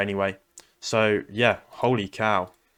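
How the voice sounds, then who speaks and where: The speaker has an English accent and monotone, flat intonation. The recording is very clean with a silent background. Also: man. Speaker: day trader. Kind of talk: trading recap. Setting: at home, late at night. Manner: quiet.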